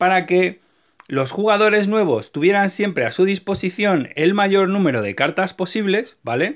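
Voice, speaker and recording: Against a quiet background, a man with a Castilian accent talks at a moderate pace and a high pitch. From Spain. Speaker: YouTuber, card game collector. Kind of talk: video tutorial; casual explanatory collector chat. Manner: animated; halting, repeats words. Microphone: phone near.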